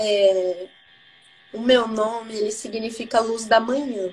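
Very slowly, a woman talks in a fairly high pitch with monotone, flat intonation. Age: 30s. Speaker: credit and business manager. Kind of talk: interview.

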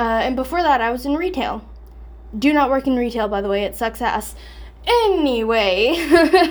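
Lively in intonation, a woman talks at a high pitch. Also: moderate pace. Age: 20s. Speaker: podcaster and security guard. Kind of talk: casual monologue. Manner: casual, many fillers.

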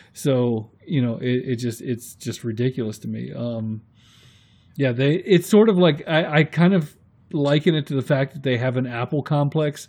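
In an ordinary speaking voice, a man talks at a moderate pace with a medium pitch and ordinary pitch variation, the background quiet. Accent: American. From US Northeast. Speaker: YouTube maker acting as guest interviewer. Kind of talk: casual interview chat.

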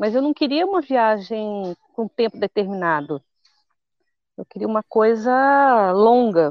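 A woman with a fairly high pitch talks at a fairly slow pace with lively intonation in a plain, everyday voice. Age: 50s. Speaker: traveler and content creator. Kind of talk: casual interview. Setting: outdoors by a hostel pool.

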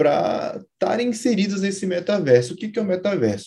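A man's intonation is lively. His tone sounds dark and mellow. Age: 20s. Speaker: software engineer and startup founder. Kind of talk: interview about technology.

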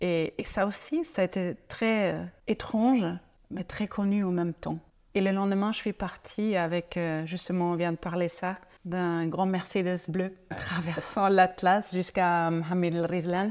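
Speaking at a fairly slow pace with fairly even intonation, a woman with a German accent comes through on a very clean recording with a silent background. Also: medium pitch for a woman. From Germany, Franconia (northern Bavaria). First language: German (speaking French). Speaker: ecotourism entrepreneur. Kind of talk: interview conversation. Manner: halting, with repetitions.

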